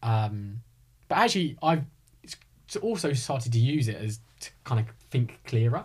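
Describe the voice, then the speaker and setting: A man with a southern English accent speaks at a moderate pace and medium pitch, with ordinary pitch variation. His voice is somewhat breathy and shows big swings in loudness. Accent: southern English, slight rising intonation. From Hertfordshire, England. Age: 30s. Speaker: real estate advisor. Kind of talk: casual chat.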